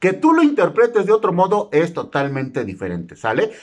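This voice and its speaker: The background is quiet as a man speaks at a moderate pace. His tone is animated. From Mexico. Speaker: YouTuber explaining government benefits. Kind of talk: informational vlog; casual informative vlog talk. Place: home room. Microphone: phone near.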